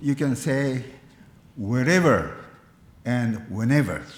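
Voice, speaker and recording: There is audible room echo around this man. He talks at a very slow pace. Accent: Japanese. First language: Japanese. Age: 80s+. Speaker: Buddhist minister. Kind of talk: eulogy at memorial service. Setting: memorial service, live-streamed. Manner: formal.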